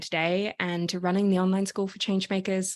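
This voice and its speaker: In a very clean recording with a silent background, a woman with an Australian accent speaks at a very fast pace in a medium pitch. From Australia, Sydney. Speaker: activist and coach. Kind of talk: podcast interview.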